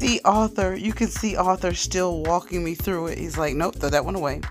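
Clear background music behind a woman talking at a moderate pace. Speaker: food vlogger. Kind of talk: casual mukbang vlog chat. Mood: cheerful, enthusiastic. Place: cafe. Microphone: phone near.

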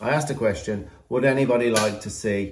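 This man has a British accent and talks at a moderate pace with ordinary pitch variation. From England. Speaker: horse trainer and channel host. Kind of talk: vlog introduction and talking to camera. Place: home room. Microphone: phone near.

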